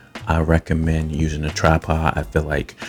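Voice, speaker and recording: Noticeable background noise sits behind a man's very deep, low voice. His intonation stays monotone and flat. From not from Kentucky. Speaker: photography YouTuber. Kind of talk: tutorial.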